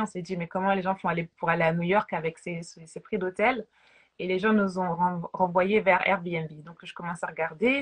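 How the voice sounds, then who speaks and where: A woman speaks at a moderate pace in a medium-pitched, somewhat breathy voice, her intonation fairly even but her loudness swinging widely. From France, Paris. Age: 30s. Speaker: realtor. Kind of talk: interview.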